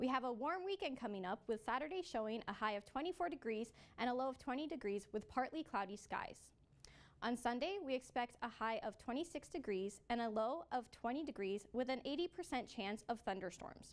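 Upbeat and lively in intonation, a woman with a Canadian accent speaks at a high pitch. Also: moderate pace. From Canada, Toronto area. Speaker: student news anchor. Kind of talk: news reading and street interview. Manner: friendly, upbeat interviewer. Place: studio.

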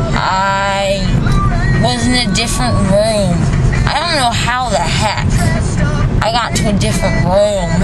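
Music in the background beneath a woman speaking at a fairly slow pace. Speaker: vlogger after oral surgery. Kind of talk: casual vlog chat. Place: car. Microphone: phone near.

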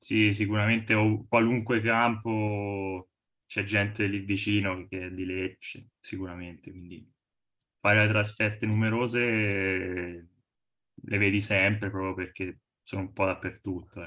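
Speaking fairly slowly with long, frequent pauses, a man with a fairly low voice keeps a flat, monotone delivery while his loudness swings widely. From Arezzo, Tuscany, Italy. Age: 20s. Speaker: football fan, trainee lawyer. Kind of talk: casual chat.

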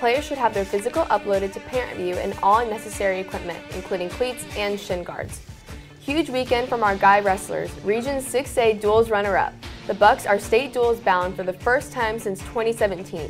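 A woman's voice with ordinary pitch variation over faint background music. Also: moderate pace. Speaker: student news anchor. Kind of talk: news report. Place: studio. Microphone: lapel.

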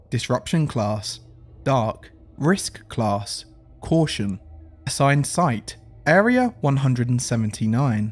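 Music plays in the background as the speaker talks with an English accent. The pace is very slow, broken by long, frequent pauses. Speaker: SCP narrator. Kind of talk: SCP file narration.

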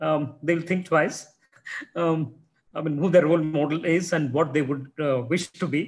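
Faint music plays in the background. The speaker has an Indian accent, a fairly slow pace and ordinary pitch variation. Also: man. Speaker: science centre official and moderator; moderator. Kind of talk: formal introduction and moderated Q&A. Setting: video call. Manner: halting, many fillers. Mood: warm, appreciative. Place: office. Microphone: video call.

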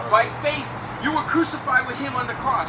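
Loud background noise beneath a man talking. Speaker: preacher, street minister. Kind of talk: sermon to a group outdoors before a baptism. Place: beach. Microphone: camera far.

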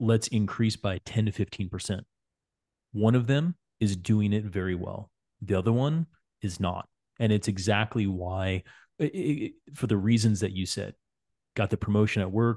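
A man speaks at a fairly slow pace in a fairly low, dark, mellow voice with ordinary pitch variation. He leaves long, frequent pauses against a quiet background. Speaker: cycling coach and podcast host. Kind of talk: interview podcast. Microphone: studio mic.

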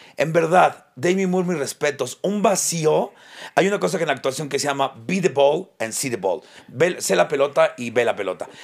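Against a quiet background, a man with a fairly high pitch and some vocal fry talks at a moderate pace. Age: 40s. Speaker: comedian podcast co-host. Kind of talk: casual chat. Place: studio. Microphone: studio mic.

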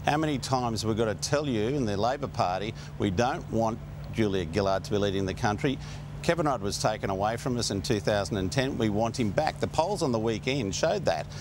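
The speaker goes at a fairly quick pace, the sound dry with no echo but marked by noticeable background noise. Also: man. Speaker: political commentator, remote guest. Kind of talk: interview answer. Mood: argumentative, insistent. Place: studio.

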